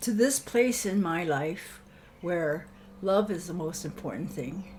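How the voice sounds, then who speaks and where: Over audible room echo, a woman with a fairly low pitch talks at a fairly slow pace, somewhat breathy and with lively intonation. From Hawaii, Honolulu. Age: 80s+. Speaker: elder interviewee. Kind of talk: reflective interview. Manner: halting.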